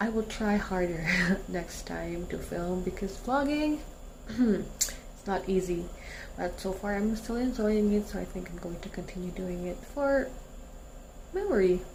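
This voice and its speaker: Quiet and fairly slow, a woman's voice comes through audible room echo and noticeable background noise. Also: medium pitch for a woman, ordinary pitch variation. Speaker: vlogger. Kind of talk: vlog outro. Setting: at home. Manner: talking quietly.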